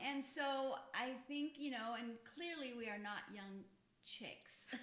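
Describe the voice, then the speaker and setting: A woman with a high pitch speaks very slowly and with ordinary pitch variation, amid noticeable background noise and audible room echo. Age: 50s. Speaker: podcast co-host, health background. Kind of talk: casual chat.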